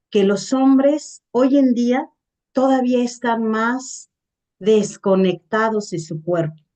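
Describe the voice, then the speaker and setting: A woman speaks at a very slow pace. Her fairly high voice carries a dark, mellow tone. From Mexico. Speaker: gerontologist and webinar speaker. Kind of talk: webinar Q&A answer.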